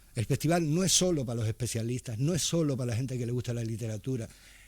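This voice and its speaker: A man's somewhat breathy, medium-pitched voice at a very fast pace, with ordinary pitch variation. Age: 60s. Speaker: writer. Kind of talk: radio interview. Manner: hesitant, many fillers.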